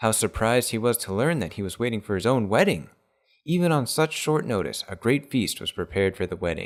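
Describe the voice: The background stays quiet. The delivery is plain reading aloud, with lively intonation.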